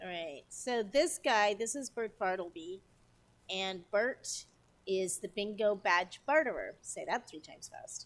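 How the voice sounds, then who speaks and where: A woman's medium-pitched voice with lively intonation and big swings in loudness. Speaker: gaming streamer. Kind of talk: live game stream commentary. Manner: fast; chatty, scattered.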